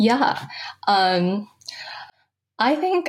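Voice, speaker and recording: A woman speaks with a Californian accent. Her pitch is fairly high. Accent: Californian American. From San Francisco, California. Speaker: undergraduate researcher. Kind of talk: interview. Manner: hesitant, many fillers.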